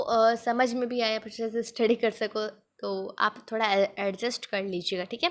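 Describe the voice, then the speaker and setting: A woman speaks in an unremarkable speaking voice. Her intonation is fairly even. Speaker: online exam-prep teacher. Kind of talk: tutorial.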